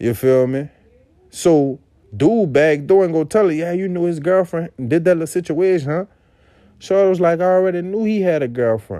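A high-pitched male voice with a dark, mellow tone, ordinary pitch variation and a moderate pace. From Avondale, Louisiana (West Bank of New Orleans). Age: 20s. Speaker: podcast host. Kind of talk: casual solo monologue.

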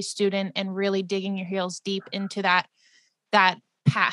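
In a very clean recording with a silent background, a woman with a plain, everyday voice speaks at a moderate pace and medium pitch, the sound dry and close with no echo. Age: 20s. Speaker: podcast host. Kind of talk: casual chat.

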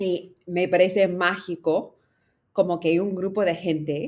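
A woman speaks with an English accent at a very slow pace. Her pitch sits fairly low. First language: English (speaking Spanish). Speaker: startup founder. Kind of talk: interview.

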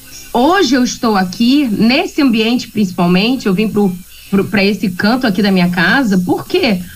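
Music plays in the background and the room echo is audible as a woman speaks at a moderate pace and fairly high pitch, with lively intonation and very even loudness. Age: 40s. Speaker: radio segment presenter. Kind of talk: casual talk-radio chat. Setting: remote from home. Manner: animated.

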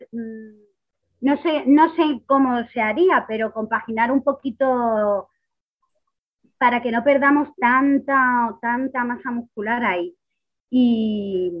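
A woman's high voice, very slow, with long, frequent pauses and ordinary pitch variation. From Spain, Ciudad Real. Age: 30s. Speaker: kidney patient on dialysis. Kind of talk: interview.

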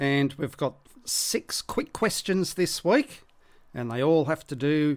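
A man with an Australian accent talks at a fairly slow pace with lively intonation. The recording is very clean, with a silent background. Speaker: sports podcast host. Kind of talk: solo podcast monologue.

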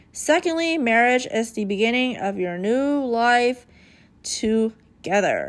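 Recorded very cleanly with a silent background, a woman speaks at a very slow pace. Her pitch is fairly high. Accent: American. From United States. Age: 20s. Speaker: podcast host. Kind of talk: casual monologue.

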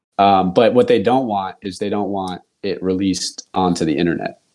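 A man's fairly low voice in a Californian accent, with fairly even intonation and a moderate pace. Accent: Californian American. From US West Coast, California East Bay. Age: 30s. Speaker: podcast host. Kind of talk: casual chat.

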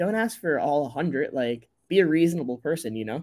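A high-pitched man with an American accent, dark, mellow tone and very wide pitch swings. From US Northeast, rural Connecticut. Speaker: company founder. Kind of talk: interview.

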